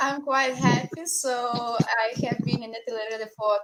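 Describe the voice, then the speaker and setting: A woman speaks in a Lithuanian accent at a moderate pace. Her pitch variation is ordinary. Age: 20s. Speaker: international volunteer. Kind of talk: casual talk in online broadcast.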